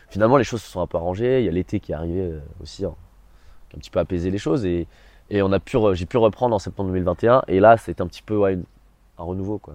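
Music plays behind a man who talks very fast in a very deep, low voice with ordinary pitch variation. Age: 20s. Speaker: drama student. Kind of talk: testimony. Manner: hesitant with fillers.

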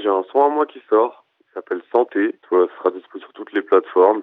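A man is speaking. His pace is fairly quick. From Madagascar, then raised in France. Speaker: rapper. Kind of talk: interview. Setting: phone call.

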